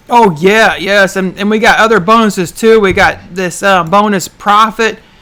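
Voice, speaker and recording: A loud, bright, sharp-toned woman's voice in a Southern US accent. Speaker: online business show host. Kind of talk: live stream chat. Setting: livestream. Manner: fast.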